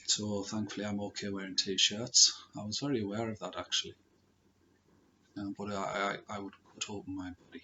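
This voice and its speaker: A soft-spoken man with a fairly low pitch, moderate pace, fairly even intonation and big swings in loudness. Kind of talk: personal story talk to camera.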